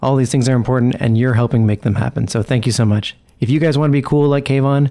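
The man's tone is dark and mellow, at a medium pitch. His pitch varies in an ordinary way. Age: 30s. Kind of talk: podcast announcements.

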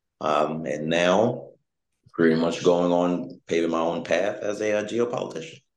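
A man's very deep, low voice at a moderate pace, with ordinary pitch variation and audible room echo. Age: 20s. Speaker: geopolitical risk analyst and author. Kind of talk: interview.

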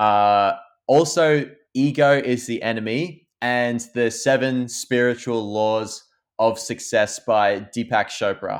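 A man with an Australian accent speaks at a very slow pace and medium pitch, his intonation fairly even. The recording is very clean with a silent background. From Australia, Victoria. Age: 20s. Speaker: YouTuber, photographer and filmmaker. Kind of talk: casual chat.

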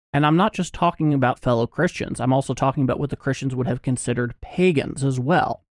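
On a very clean recording with a silent background, a man speaks at a very fast pace with hardly any pauses, in a dry, close sound with no echo. His pitch is fairly high, with ordinary pitch variation and very even loudness. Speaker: podcast co-host. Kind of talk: casual chat.

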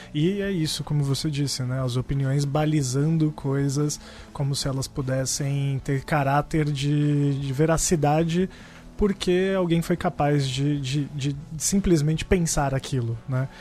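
In a São Paulo accent, the speaker talks at a fairly slow pace with fairly even intonation. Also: man, fairly high pitch for a man. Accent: Paulistano Brazilian Portuguese. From Brazil, São Paulo (Campo Limpo). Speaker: podcast co-host. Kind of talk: casual chat.

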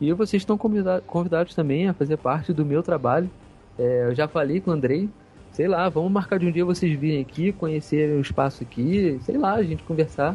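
Music plays behind a man who speaks fairly quickly in a fairly high pitch, with ordinary pitch variation and very even loudness. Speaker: gaming Facebook page admin. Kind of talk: casual chat. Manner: halting.

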